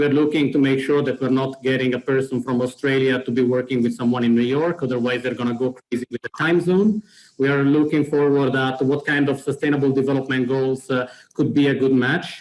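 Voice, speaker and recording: Speaking at a fairly quick pace, a man of medium pitch talks with an Italian accent. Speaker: program organizer presenting a platform. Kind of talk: webinar presentation. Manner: hesitant, many fillers.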